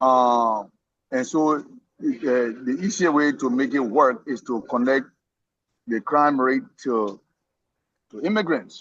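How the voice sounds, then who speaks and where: A man with a non-native accent speaks at medium pitch with ordinary variation. His pace is very slow, with long, frequent pauses. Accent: noticeable foreign. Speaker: immigrant discussion participant. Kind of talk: casual discussion. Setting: somewhere he cannot talk much. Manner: halting, many repetitions.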